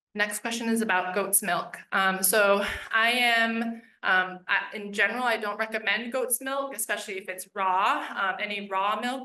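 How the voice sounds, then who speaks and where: With an American accent, a woman speaks at a fairly high pitch in a bright, sharp tone and fairly even intonation. Hardly any pauses break her speech, and the room echo is audible. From US East Coast. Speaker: veterinarian instructor. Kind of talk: Q&A at public lecture. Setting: room with live audience and webinar. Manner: fast.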